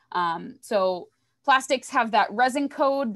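In a quiet background, a woman with an American accent has an unremarkable speaking voice, fairly high in pitch, with ordinary pitch variation. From Maine, US. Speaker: environmental educator. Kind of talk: educational presentation. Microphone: webcam.

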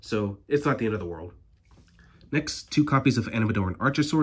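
A man's somewhat breathy voice at a medium pitch, very fast pace and ordinary pitch variation. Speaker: card game YouTuber. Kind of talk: deck profile tutorial. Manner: casual, hesitant with fillers.

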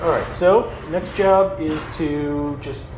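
The man's words are set against loud background noise. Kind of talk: tutorial. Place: workshop. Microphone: phone near.

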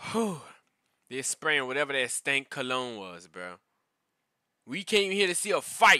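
Against a quiet background with a dry sound and no echo, a man speaks at a fairly slow pace in an animated tone, with very wide pitch swings, big swings in loudness and long, frequent pauses. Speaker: YouTube reaction creator. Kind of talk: casual reaction rant, with fight commentary clips. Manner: animated, ranting, slangy, repeats 'bro'; frustrated, conversational, storytelling. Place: home room. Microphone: headset.

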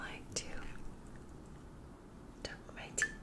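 Loud noise fills the background. A woman speaks at a fairly slow pace. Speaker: Reiki practitioner and ASMR creator. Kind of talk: ASMR sleep routine, guided relaxation. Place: home room.

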